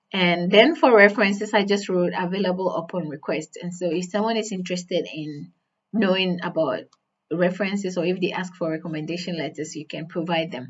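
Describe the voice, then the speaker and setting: Speaking at a fairly quick pace with a non-native accent, a woman of medium pitch shows ordinary pitch variation and big swings in loudness. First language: not English. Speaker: career advice youtuber. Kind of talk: tutorial. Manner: conversational with fillers.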